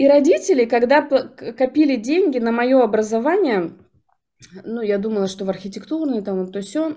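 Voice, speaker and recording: A woman speaks at a fairly high pitch in a dark, mellow tone, with lively intonation. She goes at a fairly slow pace against a quiet background. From Yakutia, Russia. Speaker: jaw harp instructor and NLP coach; jaw harp instructor, NLP coach. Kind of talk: interview. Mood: reflective.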